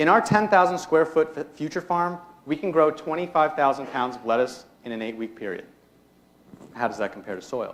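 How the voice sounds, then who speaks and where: Big swings in loudness mark this man's unremarkable speaking voice, fairly high in pitch, as he talks at a fairly quick pace with lively intonation in an American accent. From US Northeast (Hudson Valley, New York). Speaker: student entrepreneur. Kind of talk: pitch presentation. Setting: stage with audience. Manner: rehearsed, formal.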